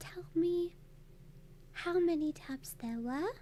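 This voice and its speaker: This voice has a gentle tone and moves at a very slow pace. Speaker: ASMR / VTuber streamer. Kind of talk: ASMR roleplay, soothing clinic consultation. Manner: soft-spoken, gentle, calming.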